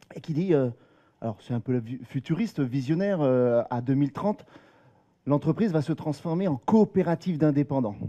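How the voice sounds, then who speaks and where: A dark, mellow tone with lively intonation moves at a moderate pace, broken by long, frequent pauses. The sound is dry and close with no echo, over a quiet background. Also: man. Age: 40s. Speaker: company employee and freelancer. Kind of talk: talk to a live audience. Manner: halting, many hesitations.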